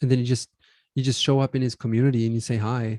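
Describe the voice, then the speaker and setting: A man's medium-pitched, dark, mellow voice with a non-native accent, monotone and flat in intonation, in a dry, close sound with no echo. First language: not English. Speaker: podcast co-host. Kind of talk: casual chat.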